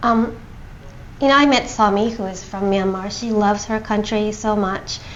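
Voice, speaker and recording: Noticeable background noise behind a woman speaking moderately fast in a fairly high register. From Japan, raised also in England, US, Hong Kong. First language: Japanese. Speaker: NGO founder and TV host. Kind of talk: interview. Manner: hesitant fillers.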